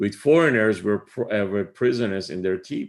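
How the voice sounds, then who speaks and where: A fairly low-pitched man with an Iranian accent on a very clean recording with a silent background. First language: Farsi. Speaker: spiritual teacher. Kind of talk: lecture. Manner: halting, many fillers.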